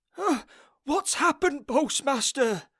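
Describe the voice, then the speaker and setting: A put-on character voice, high-pitched and nervous in tone, at a fairly slow pace, in a very clean recording with a silent background. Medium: read story. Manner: nervous, hesitant.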